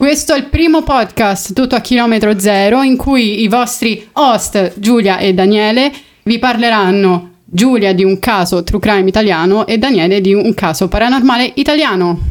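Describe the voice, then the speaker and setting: Here is a plain, everyday voice from a woman with a fairly high pitch and ordinary pitch variation. She keeps a moderate pace and a very even loudness. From Rome, Italy. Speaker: podcast co-host. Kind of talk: casual chat.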